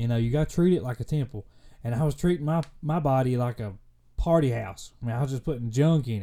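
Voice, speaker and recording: This man has a medium-pitched, dark and mellow tone with a Kentucky accent. He talks at a moderate pace with ordinary pitch variation. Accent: Kentucky Southern US. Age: 20s. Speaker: faith and fitness podcast host. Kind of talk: casual solo podcast monologue. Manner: halting, many fillers.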